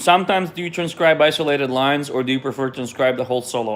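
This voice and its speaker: A man in a Russian accent speaks with ordinary pitch variation. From Israel. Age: 30s. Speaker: jazz pianist. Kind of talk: live stream Q&A. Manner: casual, hesitant with repetitions.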